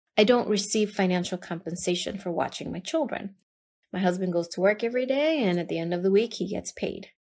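With lively intonation, an unremarkable speaking voice hurries along at a fairly quick pace. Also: woman. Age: 30s. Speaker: podcast host. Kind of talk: casual monologue.

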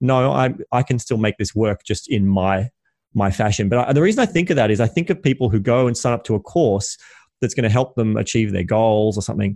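At a fairly quick pace, a man with an ordinary speaking voice talks at medium pitch with lively intonation in a dry, close sound with no echo. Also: very even loudness, quiet background. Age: 30s. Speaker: entrepreneur and podcast host. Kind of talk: casual interview chat.

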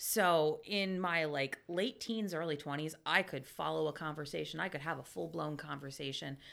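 Hardly pausing, a woman with a central Pennsylvania accent speaks at a moderate pace in a very deep, low voice with vocal fry and ordinary pitch variation, on a very clean recording with a silent background. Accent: central Pennsylvania American. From Pennsylvania, Lebanon. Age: 40s. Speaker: book giveaway volunteer. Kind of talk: casual chat.

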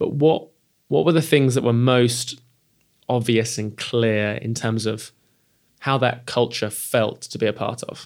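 In an unremarkable speaking voice, a man talks at a moderate pace and medium pitch with fairly even intonation. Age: 30s. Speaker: podcast host and company CEO. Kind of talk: interview. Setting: hosted venue.

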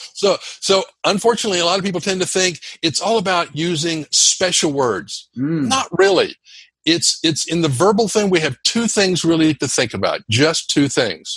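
Lively intonation marks this man's high-pitched voice. He speaks at a moderate pace. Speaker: public speaking coach. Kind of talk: interview. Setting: video call. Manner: high energy.

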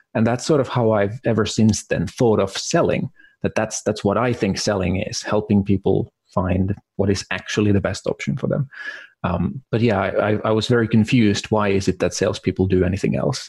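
This man speaks with a Finnish accent at a fairly quick clip, his fairly low voice a little breathy and his pitch varying in the usual way. His loudness stays very even, and the sound is dry and close with no echo. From Finland. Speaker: marketing consultant. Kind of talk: interview.

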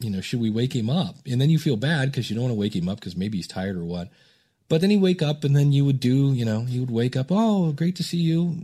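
Very fast and somewhat breathy, a man's dark, mellow voice sits at a medium pitch while making very wide pitch swings. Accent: American. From US Midwest, Akron, Ohio. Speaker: podcast coach. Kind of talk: interview conversation.

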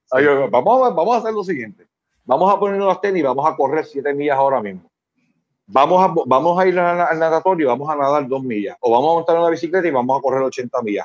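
At a very fast pace, a man speaks with lively intonation at a fairly high pitch. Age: 50s. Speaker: psychologist. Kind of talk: casual interview.

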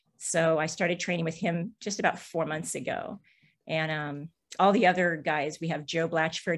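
An ordinary speaking voice from a woman, fairly low in pitch and moderate in pace, with fairly even intonation over a quiet background. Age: 60s. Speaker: amateur BMX racer. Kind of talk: interview.

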